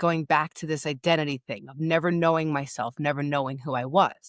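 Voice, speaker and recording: In a New York accent, a woman with a very deep, low voice talks at a fairly quick pace, the sound dry and close with no echo in a very clean recording with a silent background. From New York, Long Beach. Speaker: grief and empowerment coach. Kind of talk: interview storytelling. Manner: casual, halting with restarts.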